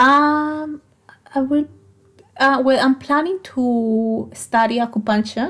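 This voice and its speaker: Speaking very slowly with long, frequent pauses, a woman with a Colombian accent keeps a high pitch and very even loudness. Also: ordinary pitch variation. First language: Spanish. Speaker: physiotherapist. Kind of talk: interview. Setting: studio. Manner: halting.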